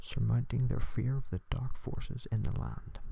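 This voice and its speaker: Soft-spoken and soothing, a man talks. His pace is moderate. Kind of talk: soft-spoken ASMR story reading. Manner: soft-spoken, soothing.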